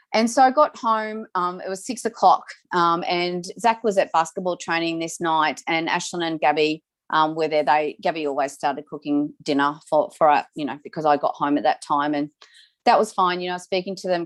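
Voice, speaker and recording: With an Australian accent, a woman speaks at a moderate pace. Her pitch is fairly low, with ordinary pitch variation. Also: quiet background. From Victoria, Australia. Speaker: domestic violence survivor speaker. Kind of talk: testimony. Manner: halting.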